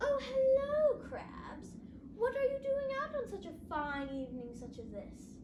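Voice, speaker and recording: A woman performs a put-on character voice at an extremely high pitch. Clear background noise is audible. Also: moderate pace. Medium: read story. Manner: smug, self-satisfied.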